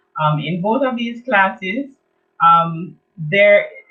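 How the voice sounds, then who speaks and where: A woman talks very slowly in a Jamaican accent. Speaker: children's art teacher. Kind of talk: online event presentation.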